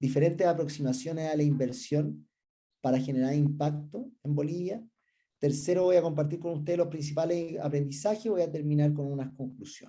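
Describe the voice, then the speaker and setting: This man's voice is fairly high and somewhat breathy, with a dark, mellow tone. He talks at a fairly quick pace with ordinary pitch variation. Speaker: research director and business school professor. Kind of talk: conference presentation. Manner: some hesitations and filler sounds.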